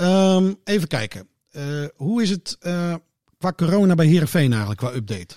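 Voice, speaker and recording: Pitch swings very widely in a dark, mellow tone. The pace stays moderate. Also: man, high pitch for a man. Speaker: podcast presenter. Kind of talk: casual chat.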